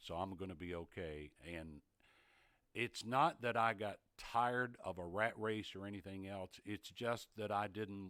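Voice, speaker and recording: A man with an East Tennessee accent speaks at a fairly slow pace in a fairly low pitch, with ordinary pitch variation and a bright, sharp tone. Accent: Southern US (East Tennessee). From East Tennessee, US South. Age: 70s. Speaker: retired TV sportscaster. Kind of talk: casual interview chat.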